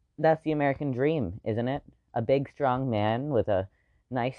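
A man of medium pitch, with ordinary pitch variation, at a moderate pace. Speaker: solo podcaster. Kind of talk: personal monologue. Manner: hesitant, many fillers.

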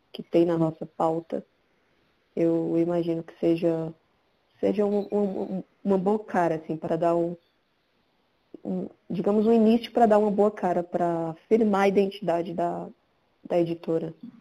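Her tone dark and mellow, a woman with a fairly low pitch speaks at a moderate pace with fairly even intonation and long, frequent pauses. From Brazil, Pernambuco (Caruaru). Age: 30s. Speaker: photographer and book editor. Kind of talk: casual chat.

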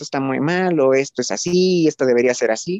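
Heard in a dry, close sound with no echo, a man speaks at a moderate pace with ordinary pitch variation. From Mexico. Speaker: guest friend. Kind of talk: casual chat. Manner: halting with many fillers.

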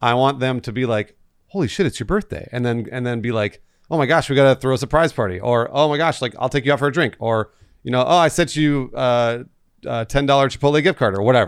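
The man has a plain, everyday voice, pitched medium with ordinary pitch variation. The recording is very clean with a silent background. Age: 30s. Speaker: podcast co-host. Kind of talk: casual chat.

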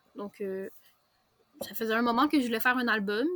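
In a Quebec accent, a woman speaks at a fairly high pitch, with a dry, close sound and no echo. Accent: Québécois. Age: young. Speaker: novelist and graphic designer. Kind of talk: interview.

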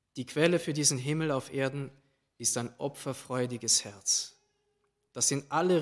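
Fairly high in pitch, a man speaks at a moderate pace in a plain, everyday voice with fairly even intonation, captured on a very clean recording with a silent background. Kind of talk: sermon. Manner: formal, solemn, measured; warm, earnest, uplifting.

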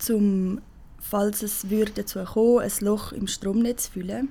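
Very slow and flat, a woman's monotone voice has a dark, mellow tone and is somewhat breathy. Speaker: climate activist. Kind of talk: casual interview.

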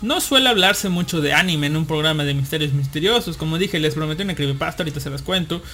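A man at a fairly high pitch, very fast and with hardly any pauses, amid noticeable background noise. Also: ordinary pitch variation. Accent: Mexican. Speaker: podcast host. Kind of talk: casual chat. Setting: online live broadcast.

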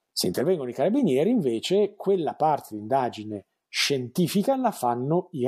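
On a very clean recording with a silent background, a man's dark, mellow voice swings very widely in pitch. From Emilia-Romagna, Italy (Bologna province). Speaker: crime novelist and screenwriter. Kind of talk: interview.

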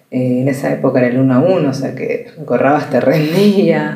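The pitch rises and falls very widely, and there is audible echo from the room. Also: woman. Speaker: journalist and podcast host. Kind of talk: personal monologue. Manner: conversational.

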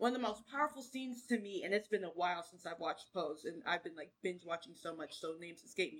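A woman at a very fast pace with hardly any pauses, medium pitch, lively intonation, an animated tone and big swings in loudness. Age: 30s. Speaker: podcast host. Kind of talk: casual chat.

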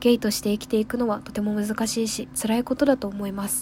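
A woman talks very fast in an animated tone at a fairly high pitch. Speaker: radio host. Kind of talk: casual solo radio talk. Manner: animated, fast talker.

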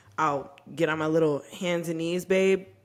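A plain, everyday voice from a woman, fairly low in pitch, at a moderate pace with fairly even intonation. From Texas. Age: 20s. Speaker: podcast co-host. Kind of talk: casual chat.

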